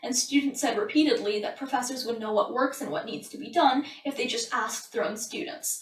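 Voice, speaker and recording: Over noticeable background noise, a woman with a high voice talks at a very fast pace with lively intonation. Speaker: book reviewer. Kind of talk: book summary. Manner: trips over consonants.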